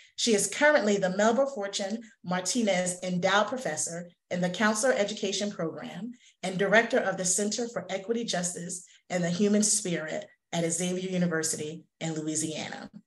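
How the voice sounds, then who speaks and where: A woman with a New Jersey accent speaks at a fairly quick pace with ordinary pitch variation. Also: medium pitch for a woman. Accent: New Jersey American English. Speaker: counseling association president and webinar moderator. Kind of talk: webinar panel discussion. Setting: video call. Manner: fast talker.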